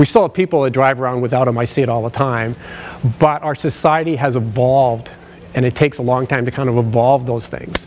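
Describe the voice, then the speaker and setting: Against noticeable background noise, a man with a Canadian accent talks at a fairly quick pace. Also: medium pitch for a man, fairly even intonation. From British Columbia, Canada (Langley). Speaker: occupational sleep specialist. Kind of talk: conference presentation. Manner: loud.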